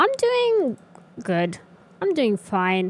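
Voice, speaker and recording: A woman's strained, upbeat put-on character voice at a fairly high pitch. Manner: unconvincing, strained upbeat.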